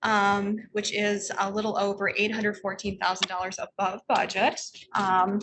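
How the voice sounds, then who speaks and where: Her pitch medium, a woman speaks at a moderate pace with monotone, flat intonation. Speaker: library system finance officer. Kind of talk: financial report at board meeting. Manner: soft-spoken; hesitant with frequent um fillers.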